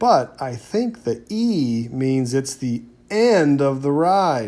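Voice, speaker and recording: A put-on character voice, low-to-middle in pitch, moves at a very slow pace. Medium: read story.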